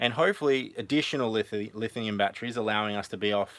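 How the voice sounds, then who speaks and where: A man speaks with an Australian accent at a fairly quick pace and ordinary pitch variation. The recording is very clean, with a silent background. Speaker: family vlogger. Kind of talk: live stream tour of van build. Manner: fast; hesitant, many fillers.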